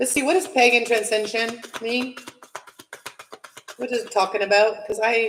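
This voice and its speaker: At a moderate pace, a woman with a fairly high pitch and ordinary pitch variation speaks with long, frequent pauses. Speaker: tarot reader. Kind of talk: tarot reading monologue. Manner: loud; casual, filler-heavy.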